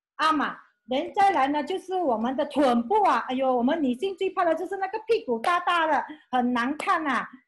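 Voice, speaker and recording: A woman talks at a moderate pace in a high voice. Her pitch swings very widely. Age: 50s. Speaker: former school clerk, beauty brand representative; presenter. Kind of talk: testimony. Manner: animated. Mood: enthusiastic, grateful. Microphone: video call.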